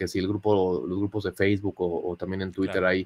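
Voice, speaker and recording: He is a man speaking in a plain, everyday voice at a fairly low pitch and a moderate pace. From Mexico City. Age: 30s. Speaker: digital marketing professional; podcast guest. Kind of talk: testimony. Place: home room.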